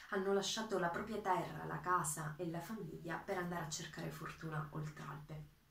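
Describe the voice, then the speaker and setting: A woman at a fairly low pitch and moderate pace, with audible room echo. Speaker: PhD student. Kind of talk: introduction to a poem reading. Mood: calm, earnest. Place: home room. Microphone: webcam.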